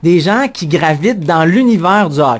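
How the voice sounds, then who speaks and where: Here a man speaks in a high voice. His pitch swings very widely. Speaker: radio show co-host. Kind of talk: morning radio show banter.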